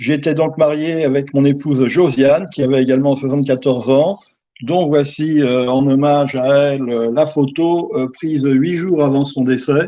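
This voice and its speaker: Fairly high in pitch, a man speaks at a fairly slow pace with a dark, mellow tone. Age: 70s. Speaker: bereaved widower. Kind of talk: testimony. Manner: halting, many hesitations.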